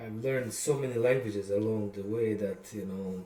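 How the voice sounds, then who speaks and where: Fairly low in pitch, a man speaks with a Bosnian accent. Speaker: songwriter. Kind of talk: casual monologue. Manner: hesitant, many fillers.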